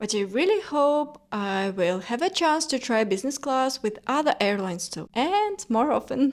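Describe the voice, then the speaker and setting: A high-pitched woman with a non-native accent, very wide pitch swings, a moderate pace and hardly any pauses, over noticeable background noise. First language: not English. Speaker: lifestyle vlogger. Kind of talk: personal reflection vlog.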